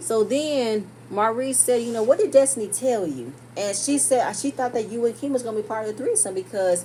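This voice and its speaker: A woman speaks in an animated tone at a very fast pace, with noticeable background noise. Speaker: TV show reviewer. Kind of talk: casual recap commentary.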